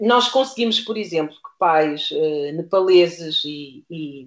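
A woman with an unremarkable speaking voice talks at a fairly slow pace with lively intonation. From Portugal, Lisbon south bank (Seixal). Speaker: primary school teacher. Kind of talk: radio interview.

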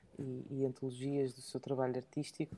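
A woman's dark, mellow voice at a moderate pace, in a very clean recording with a silent background. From England. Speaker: podcast co-host. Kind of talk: casual chat. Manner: halting.

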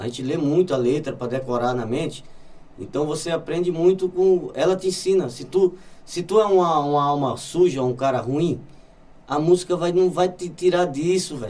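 A man speaks with a Brazilian accent and a fairly high pitch. His tone is dark and mellow. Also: ordinary pitch variation, moderate pace. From Brazil, Olinda, Pernambuco. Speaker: musician. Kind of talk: casual chat.

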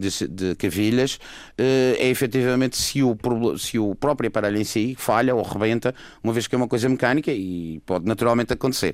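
An unremarkable speaking voice from a man at medium pitch, fairly quick in pace, with ordinary pitch variation and very even loudness, on a very clean recording with a silent background. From Madeira, Portugal. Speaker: orthopedic surgeon. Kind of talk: radio panel discussion.

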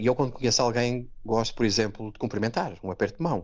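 A man talks with a European Portuguese accent. His pitch is fairly low. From Portugal, Setúbal. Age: 40s. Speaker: Portuguese emigrant interviewee. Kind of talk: interview. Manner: halting, many repetitions.

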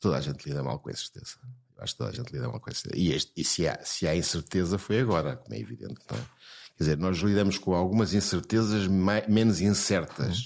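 Very fast and lively in intonation, a man speaks with a very deep, low pitch and vocal fry on a very clean recording with a silent background. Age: 70s. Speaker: psychiatrist. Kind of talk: interview. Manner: halting, repeats words.

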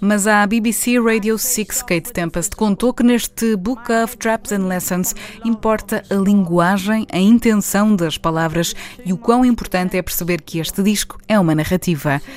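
There is noticeable background noise as a woman speaks at a moderate pace. Her pitch is medium, with ordinary pitch variation. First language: Portuguese. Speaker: radio presenter. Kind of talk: scripted narration.

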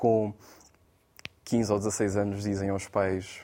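A man's fairly low voice, dark and mellow in tone. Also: very clean recording, silent background. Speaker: poet and spoken-word performer. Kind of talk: studio panel discussion. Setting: studio. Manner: halting, many repetitions.

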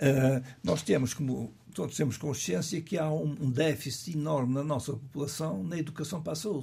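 In a normal speaking voice, a man talks at a moderate pace with hardly any pauses, fairly high in pitch and with ordinary pitch variation. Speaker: cardiologist. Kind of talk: radio interview. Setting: studio.

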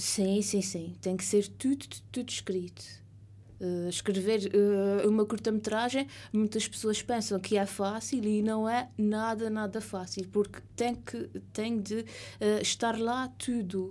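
Speaking at a very slow pace with fairly even intonation, a woman with a medium pitch and a dark, mellow tone talks in an Azorean accent on a very clean recording with a silent background. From Azores, São Miguel. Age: 30s. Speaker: writer. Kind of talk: radio interview. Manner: halting, many fillers.

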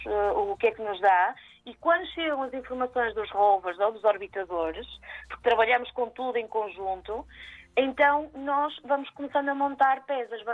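Her intonation is lively and her pitch is high. This woman speaks at a fairly slow pace. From northern Portugal, Maia. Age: 30s. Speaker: astrobiologist. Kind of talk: radio interview. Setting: phone call. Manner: hesitant, many fillers.

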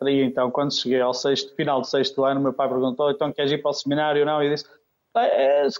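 Pitched fairly high, a man talks at a very fast pace. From Oliveira de Azeméis, Aveiro district, Portugal. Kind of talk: radio interview. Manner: halting.

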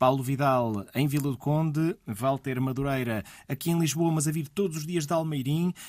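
A man with a European Portuguese accent speaks at a fairly high pitch with ordinary pitch variation, on a very clean recording with a silent background. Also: moderate pace. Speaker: radio host. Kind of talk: radio interview.

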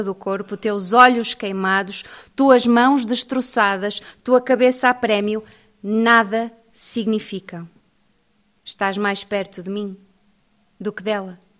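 A woman's fairly high voice moves very slowly, her intonation staying fairly even. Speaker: poet. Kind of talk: poetry reading aloud.

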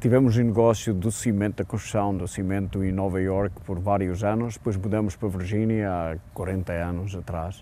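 A man's unremarkable speaking voice, fairly low in pitch, at a moderate pace with fairly even intonation. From Portugal. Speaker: businessman and wine producer. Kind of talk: interview.

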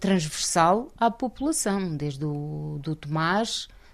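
A woman's very slow, lively-toned speech against a quiet background. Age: 50s. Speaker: local election candidate. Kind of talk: interview.

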